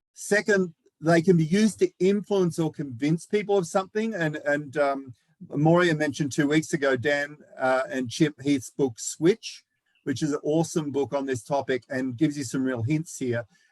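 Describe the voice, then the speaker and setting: A man with an Australian accent talks at a moderate pace with a fairly high pitch and ordinary pitch variation, recorded dry and close with no echo. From Australia, Melbourne. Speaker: knowledge manager, presenter. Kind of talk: lecture.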